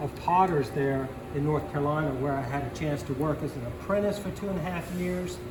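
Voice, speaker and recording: With an American accent, the speaker talks at a moderate pace with ordinary pitch variation, amid noticeable background noise and audible room echo. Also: man. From Virginia. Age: 60s. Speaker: potter. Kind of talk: live craft demonstration. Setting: pottery studio with tour group. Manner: halting, repeats words.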